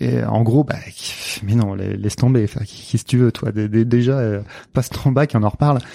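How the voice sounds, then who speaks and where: Medium pitch from a man, with fairly even intonation. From western France, Nantes. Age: 40s. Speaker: mental coach. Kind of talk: interview conversation. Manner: hesitant, many fillers.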